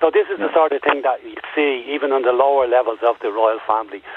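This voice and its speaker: In an Irish accent, the words come at a very fast pace. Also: man. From Ireland. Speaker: caller. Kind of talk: phone-in radio discussion. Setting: phone call.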